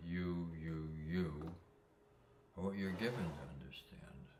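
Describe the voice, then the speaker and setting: A man speaks at a fairly slow pace in a very deep, low voice with fairly even intonation, and the room echo is audible. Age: 80s+. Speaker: spiritual talker sharing life insights. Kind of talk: reflective monologue. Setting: sitting, solo recording. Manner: halting, many fillers; slow, ruminative.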